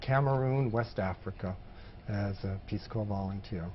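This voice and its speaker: Here a man has a normal speaking voice. He talks at a moderate pace with ordinary pitch variation. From Maine, US. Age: 60s. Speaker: former public health field worker. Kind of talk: oral history interview.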